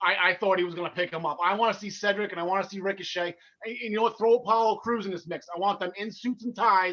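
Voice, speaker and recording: Talking at a very fast pace, a man with a New Jersey accent uses a raised, projected voice, a bright, sharp tone, a high pitch and fairly even intonation. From North Jersey, US. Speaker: wrestling podcast co-host. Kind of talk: casual chat. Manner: halting.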